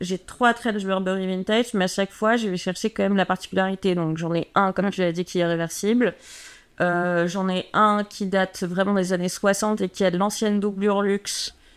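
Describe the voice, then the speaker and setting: A woman with an unremarkable speaking voice talks at a medium pitch and a moderate pace with fairly even intonation. The recording is very clean, with a silent background. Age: 30s. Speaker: personal stylist. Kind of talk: casual chat.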